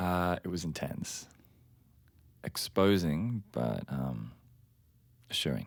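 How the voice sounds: Doing a put-on character voice, a man speaks slowly at an extremely low pitch with vocal fry and lively intonation.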